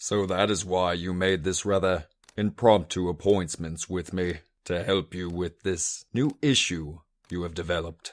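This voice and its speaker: Putting on a character voice, a man speaks at a moderate pace with a very deep, low pitch in a very clean recording with a silent background. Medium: read story.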